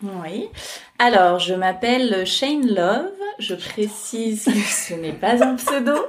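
Through noticeable background noise, a woman speaks at a very slow pace in a fairly high pitch with lively intonation. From France, Scottish father. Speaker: podcaster and freelance digital strategist. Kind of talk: interview. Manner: hesitant, many fillers.

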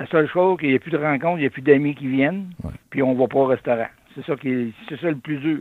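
A man speaks very fast in a Québécois accent, his pitch fairly high. His loudness swings widely. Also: ordinary pitch variation. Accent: rural Québécois French. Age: old. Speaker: retired trucker, community volunteer. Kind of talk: radio interview.

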